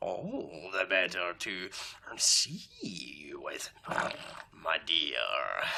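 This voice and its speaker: Growling in a put-on character voice, a man speaks at a very slow pace. Long, frequent pauses break up his lines. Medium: read story. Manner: sly, menacing.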